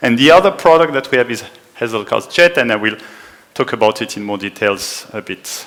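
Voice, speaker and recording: A man with a French accent talks at a moderate pace, his intonation lively and his loudness swinging widely. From France. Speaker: conference speaker. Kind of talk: technical talk. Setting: conference room with small audience.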